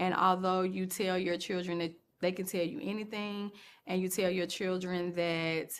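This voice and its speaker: Fairly even intonation from a woman whose pitch is medium. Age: 40s. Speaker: video blogger. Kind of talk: personal testimony. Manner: slow.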